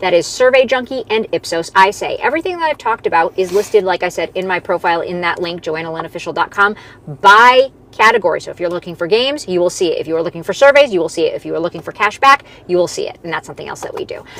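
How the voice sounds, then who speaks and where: Talking very fast amid noticeable background noise, a woman with a medium-pitched voice uses lively intonation and big swings in loudness. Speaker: side hustle content creator. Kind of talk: live stream Q&A. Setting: live stream.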